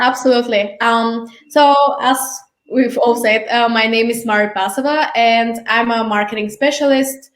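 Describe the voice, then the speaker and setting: With a Bulgarian accent, a woman speaks at a fairly high pitch and moderate pace, her intonation fairly even and her loudness very even, with audible room echo. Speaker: marketing specialist. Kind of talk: casual interview.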